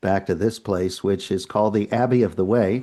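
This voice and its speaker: A man with a New England accent talks at a fairly quick pace. His tone is dark and mellow against a quiet background. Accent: New England American. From New England, US (Worcester, Massachusetts). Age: 70s. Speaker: retired priest. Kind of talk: interview conversation.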